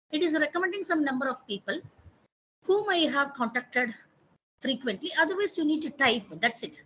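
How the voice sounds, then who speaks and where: A woman with an Indian accent talks at a moderate pace, her intonation lively. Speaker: professor. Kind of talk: online training workshop tutorial.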